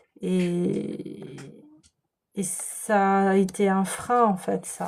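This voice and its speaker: Soft-spoken, a woman talks at a very slow pace. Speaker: tarot and energy reader. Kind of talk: spiritual guidance reading. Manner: soft-spoken, slow; hesitant, many fillers.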